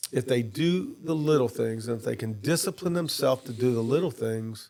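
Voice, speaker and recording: Fairly quick, lively speech with a dark, mellow tone, in a New Orleans accent. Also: man, medium pitch for a man. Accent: New Orleans area Louisiana. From Louisiana, Jefferson Parish (New Orleans area). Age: 60s. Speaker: former state official and businessman. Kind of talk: podcast interview. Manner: casual, hesitant with fillers.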